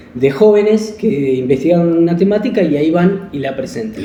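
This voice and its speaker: Amid noticeable background noise and audible room echo, a man speaks. His pitch is high and his intonation lively. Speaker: school program coordinator. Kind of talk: casual chat. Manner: fast.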